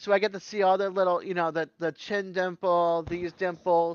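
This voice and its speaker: A woman with an American accent, medium pitch, fairly even intonation and moderate pace, in a dry, close sound with no echo and a quiet background. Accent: Boston accent, comes out now and then. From Massachusetts. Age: 50s. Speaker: live streamer, works with newborns and mothers. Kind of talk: casual chat. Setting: live stream.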